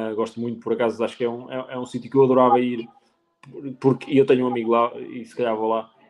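The delivery is very fast. The intonation stays monotone and flat. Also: man, medium pitch for a man, big swings in loudness. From Portugal, Penacova (Coimbra district). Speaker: sommelier. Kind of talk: casual interview. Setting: live stream.

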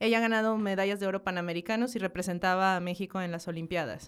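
A woman talks at a medium pitch with fairly even intonation. The recording is very clean, with a silent background. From northern Mexico, Hidalgo del Parral, Chihuahua. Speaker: graphic designer and marketing professional. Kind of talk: casual interview chat.

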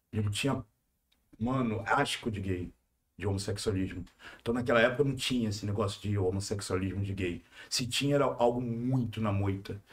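A man's somewhat breathy voice, fairly low in pitch, at a fairly quick pace. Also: ordinary pitch variation. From Rio de Janeiro (Manguinhos favela). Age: 40s. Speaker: youtuber. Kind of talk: casual chat. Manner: animated.

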